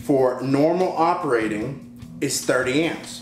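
A man's voice with ordinary pitch variation, audible room echo and clear music in the background. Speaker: host. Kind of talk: tutorial. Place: garage.

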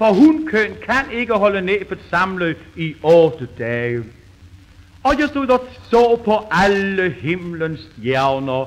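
A man with a high pitch, very wide pitch swings, and a very slow pace. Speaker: comedian. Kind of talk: comic monologue. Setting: old gramophone recording.

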